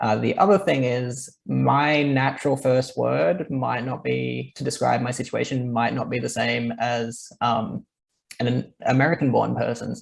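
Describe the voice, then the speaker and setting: Fairly slow male speech with an Australian accent. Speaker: marketing lead, webinar host. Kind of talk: business webinar discussion.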